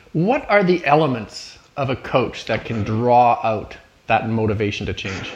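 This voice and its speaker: With a Canadian accent, a man speaks at a fairly slow pace in a medium pitch, his intonation lively over noticeable background noise. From Canada. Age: 50s. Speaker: podcast host. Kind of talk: interview.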